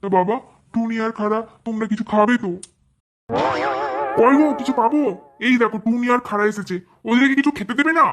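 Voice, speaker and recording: A woman's cartoonish character voice, fairly high-pitched, with ordinary pitch variation. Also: fairly quick pace. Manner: whiny, complaining.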